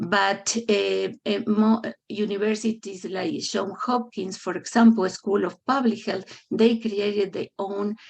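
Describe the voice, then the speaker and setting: A woman with a non-native accent, vocal fry, monotone, flat intonation and a fairly slow pace. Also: medium pitch for a woman. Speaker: public health faculty member. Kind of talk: meeting presentation. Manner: halting, many fillers.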